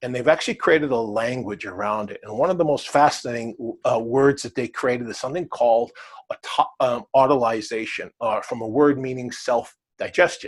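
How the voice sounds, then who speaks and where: In an American accent, a normal speaking voice moves at a fairly quick pace with ordinary pitch variation. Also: man, medium pitch for a man, big swings in loudness. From US Midwest, Wisconsin. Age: 60s. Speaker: cleansing program author and teacher. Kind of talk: talk to camera answering questions. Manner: casual, with many fillers.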